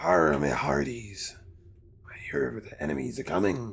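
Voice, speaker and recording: A put-on character voice with a very deep, low pitch comes at a moderate pace. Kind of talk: hearty pirate slang.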